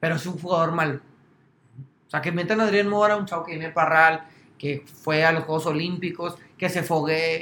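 With a Mexican accent, a man speaks at a moderate pace in a high, bright, sharp voice, his intonation flat and monotone, broken by long, frequent pauses. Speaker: sports podcast host. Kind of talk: casual chat.

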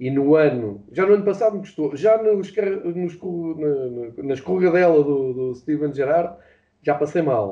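A man with a European Portuguese accent speaks at a fairly slow pace. His voice is fairly high-pitched, with lively intonation. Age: 40s. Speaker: football fan and pundit. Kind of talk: casual chat. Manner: halting.

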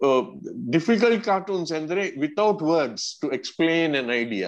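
A man's fairly high voice at a fairly slow pace, with very wide pitch swings over a quiet background. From Karnataka, India (Mangalore). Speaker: cartoonist. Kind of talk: interview. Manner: rambling, code-switching.

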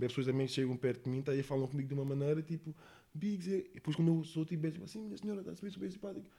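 A man speaks at a very fast pace with a fairly high pitch. His tone is dark and mellow, and somewhat breathy. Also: ordinary pitch variation. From Portugal, Monte da Caparica (Almada), lived in England. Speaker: rapper. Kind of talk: casual interview. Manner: slangy, repetitive filler (está a saber, mano).

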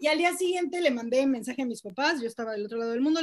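This woman speaks very rapidly. Her intonation rises and falls in a lively way. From Mexico City. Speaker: podcast guest, social media activist. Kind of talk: casual chat.

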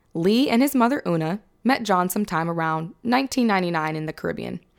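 A woman speaks in an ordinary speaking voice with an American accent, medium pitch, lively intonation and a fairly quick pace on a very clean recording with a silent background. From Sacramento, California. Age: 20s. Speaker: true crime podcast host. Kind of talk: casual chat with scripted case narration.

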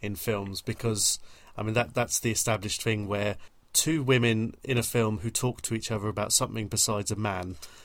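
An ordinary speaking voice from a man, fairly low and fairly even in intonation, in a very clean recording with a silent background. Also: fairly quick pace. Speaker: podcast host. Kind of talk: casual chat.

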